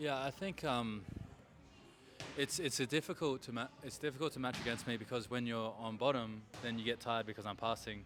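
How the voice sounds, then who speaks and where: The speaker has an Australian accent and ordinary pitch variation. The pace is fairly quick. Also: man, medium pitch for a man. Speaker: grappling athlete. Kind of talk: interview.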